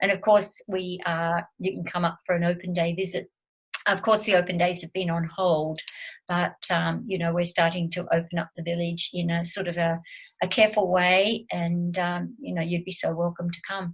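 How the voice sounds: A woman's fairly low voice with little pitch movement. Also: moderate pace.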